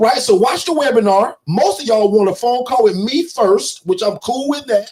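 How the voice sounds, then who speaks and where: A loud man speaks with a high pitch and very wide pitch swings. His pace is fairly slow. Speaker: business coach. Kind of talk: livestream sales pitch. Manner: loud and forceful; animated.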